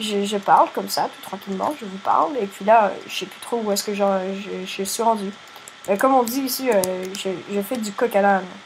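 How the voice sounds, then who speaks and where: A woman's voice swings a lot in loudness against noticeable background noise. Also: medium pitch for a woman, ordinary pitch variation, moderate pace. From Quebec. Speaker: gaming youtuber. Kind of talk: casual gameplay commentary. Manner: halting, repeats words.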